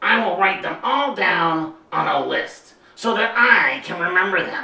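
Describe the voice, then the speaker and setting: A put-on character voice sits at a middle pitch. There is a slight echo on the recording. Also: fairly slow pace. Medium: read story.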